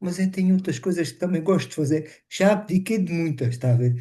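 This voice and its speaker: A man's high-pitched voice with a dark, mellow tone, ordinary pitch variation and a moderate pace. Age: 60s. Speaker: webinar participant living with multiple sclerosis. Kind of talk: casual testimony. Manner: halting.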